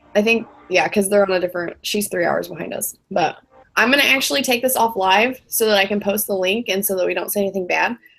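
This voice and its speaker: Very fast speech comes from a woman at medium pitch with ordinary pitch variation. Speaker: social media business trainer. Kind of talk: online training session. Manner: fast when nervous; casual, lots of filler words.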